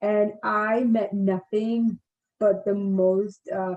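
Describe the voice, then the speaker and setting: A woman speaks with a non-native accent at medium pitch. Her tone is dark and mellow, with ordinary pitch variation. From India. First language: not English. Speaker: navy service member in transition. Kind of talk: casual interview.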